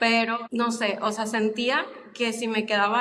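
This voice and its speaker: A woman speaks at a fairly slow pace. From Mexico, Guadalajara. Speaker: podcast guest. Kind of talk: casual interview chat.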